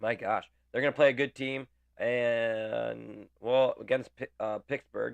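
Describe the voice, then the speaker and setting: The sound is dry and close, with no echo and a quiet background. A man speaks at a very slow pace. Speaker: hockey podcast host. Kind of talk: casual chat.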